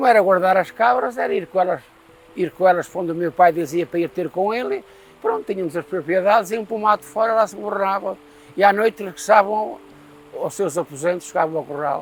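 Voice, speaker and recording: Over noticeable background noise, a high-pitched man talks fairly quickly with ordinary pitch variation. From Portugal, Castelo Branco district (Pomar). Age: 80s+. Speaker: elderly villager. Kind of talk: oral history interview.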